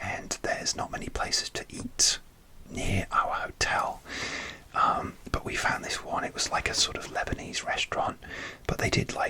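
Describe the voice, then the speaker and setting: A man whispering at a moderate pace amid noticeable background noise. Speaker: ASMR content creator. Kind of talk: whisper ramble story time.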